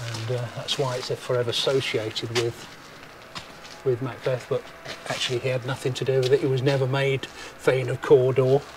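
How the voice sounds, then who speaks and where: Noticeable background noise surrounds a man talking at a moderate pace in a monotone, flat way. The sound is dry, with no echo. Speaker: travel vlogger. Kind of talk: casual vlog chat. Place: street. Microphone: phone near.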